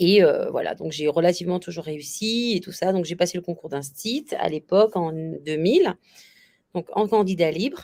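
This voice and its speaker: The loudness rises and falls sharply. The tone is dark and mellow, with ordinary pitch variation. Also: woman, fairly low pitch for a woman, moderate pace. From Réunion. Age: 40s. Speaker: bridal shop owner, former teacher. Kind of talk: interview. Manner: hesitant, many fillers.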